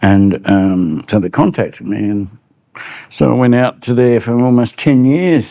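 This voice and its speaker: Here a man speaks with an Australian accent at a medium pitch. His pace is fairly slow, and his intonation is lively. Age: 70s. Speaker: journalist. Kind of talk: interview. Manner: halting.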